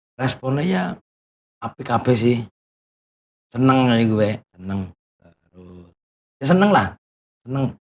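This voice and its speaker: A man with a strong Banyumas accent at medium pitch and a fairly slow pace, lively intonation, long and frequent pauses, and big swings in loudness. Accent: strong Banyumasan (Ngapak) Javanese. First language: Banyumasan Javanese (speaking Indonesian). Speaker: content creator. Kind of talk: casual interview. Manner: casual, halting.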